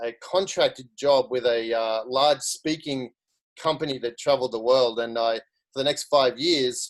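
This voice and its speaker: A medium-pitched man with an Australian accent, at a moderate pace and with ordinary pitch variation. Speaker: social media marketer. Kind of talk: career story talk on a video call.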